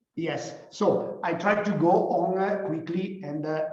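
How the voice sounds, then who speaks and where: Audible room echo hangs around a man as he talks. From Italy. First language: Italian. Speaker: company founder and CEO. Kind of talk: guest lecture. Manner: halting, many fillers.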